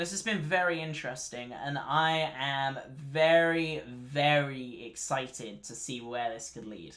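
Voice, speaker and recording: The speech has a bright, sharp tone and a fairly slow pace with hardly any pauses. Loudness swings widely throughout. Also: man, fairly high pitch for a man, ordinary pitch variation. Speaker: streamer reacting to a live announcement. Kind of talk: live stream reaction commentary. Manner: casual, hesitant with many fillers.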